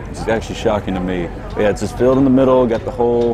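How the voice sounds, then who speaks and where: Clear music plays in the background while a man talks at a very fast pace with fairly even intonation. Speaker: food reviewer. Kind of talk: casual vlog chat. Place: market. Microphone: lapel.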